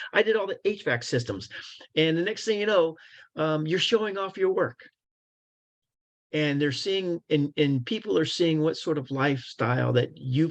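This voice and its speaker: A fairly high-pitched man at a moderate pace against a quiet background. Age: 60s. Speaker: construction career recruiter. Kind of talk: webinar Q&A. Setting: online webinar. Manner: hesitant, many fillers.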